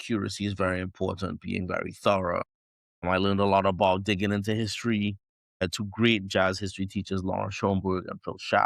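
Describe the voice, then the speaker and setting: In a Trinidadian accent, a man speaks very fast with a fairly low pitch and monotone, flat intonation, on a very clean recording with a silent background. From Trinidad and Tobago. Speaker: jazz trumpeter. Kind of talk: podcast interview.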